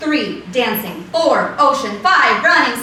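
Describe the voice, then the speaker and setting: Her voice is raised and projected, high in pitch, at a very slow pace. Noticeable background noise runs beneath this woman. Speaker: slam poet. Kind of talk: slam poetry performance, second-person monologue.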